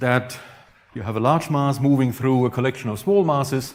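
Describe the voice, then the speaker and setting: A man speaks with a Franconian accent. Audible room echo surrounds his voice. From Franconia, Germany. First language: German. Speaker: astrophysics professor. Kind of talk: lecture.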